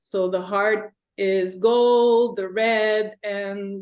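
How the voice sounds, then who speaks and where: A woman's fairly high voice in a French-Canadian accent, very slow and monotone with flat intonation. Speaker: art teacher. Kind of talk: casual chat.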